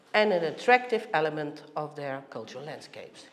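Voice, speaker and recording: Audible room echo surrounds a woman who speaks at a moderate pace with lively intonation. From Netherlands. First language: Dutch. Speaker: heritage organisation director. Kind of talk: conference presentation.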